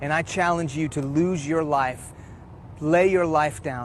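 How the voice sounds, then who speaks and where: A man with a Texas accent speaks at a fairly high pitch with fairly even intonation. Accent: American, Texas. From Houston, Texas (childhood partly in Iran). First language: Farsi. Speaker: preacher. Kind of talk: testimony.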